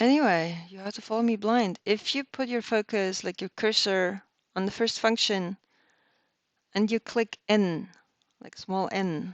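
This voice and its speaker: Recorded with a dry, close sound with no echo over a quiet background, a woman with a non-native accent speaks with big swings in loudness. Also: medium pitch for a woman, ordinary pitch variation, fairly slow pace. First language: not English. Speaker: reverse engineering instructor. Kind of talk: tutorial. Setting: live stream. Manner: casual, hesitant with fillers.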